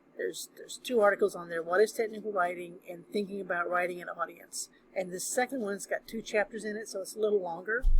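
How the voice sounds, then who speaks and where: A woman speaks at a very fast pace. Her pitch sits in the middle range. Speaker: college instructor. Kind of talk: recorded lecture. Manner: casual, hesitant with fillers.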